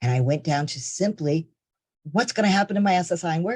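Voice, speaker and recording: A man talks at a fairly quick pace, sounding somewhat breathy. His pitch varies in an ordinary way. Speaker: benefits trainer. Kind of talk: webinar tutorial. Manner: occasional stutter.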